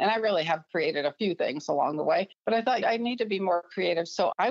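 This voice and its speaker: In a dry, close sound with no echo, a woman with an unremarkable speaking voice talks at medium pitch with ordinary pitch variation. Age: 60s. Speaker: physical therapist and artist. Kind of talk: interview.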